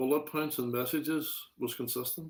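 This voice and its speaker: With a Derry accent, a man speaks at a moderate pace in a fairly high pitch, keeping his intonation fairly even. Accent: Northern Irish (Derry). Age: 60s. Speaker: interview guest, public figure. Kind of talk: casual interview.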